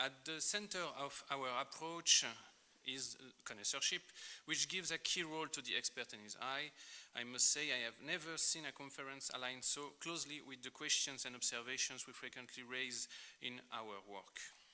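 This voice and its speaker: In a French accent, a man with a fairly high pitch and a bright, sharp tone speaks at a moderate pace with ordinary pitch variation. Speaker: art historian. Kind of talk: lecture. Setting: conference.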